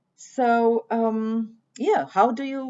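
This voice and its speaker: A woman with a Romanian accent and a fairly high pitch. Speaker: poet and prose writer. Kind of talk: prepared talk on literature. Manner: halting.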